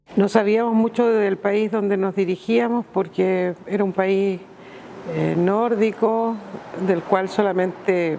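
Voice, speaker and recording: A woman speaks at a fairly slow pace with medium pitch and ordinary pitch variation. Noticeable background noise is present. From Chile, Iquique. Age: 60s. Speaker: migrant interviewee. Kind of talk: testimony.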